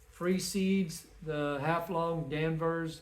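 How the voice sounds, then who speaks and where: A man with a fairly high-pitched voice speaks in a flat monotone, and some room echo can be heard. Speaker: home gardener and chicken keeper. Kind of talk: casual video tutorial. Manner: casual, informal.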